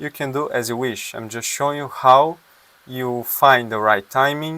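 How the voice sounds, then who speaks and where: A man's medium-pitched voice in a bright, sharp tone, with fairly even intonation and a moderate pace. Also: big swings in loudness. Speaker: forex trader and trading educator. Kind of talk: tutorial; call to subscribe. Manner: halting, with fillers.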